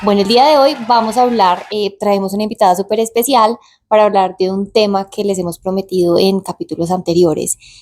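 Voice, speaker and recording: A woman with an ordinary speaking voice, ordinary pitch variation and a fairly quick pace. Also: medium pitch for a woman. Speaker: podcast co-host. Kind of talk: casual podcast chat.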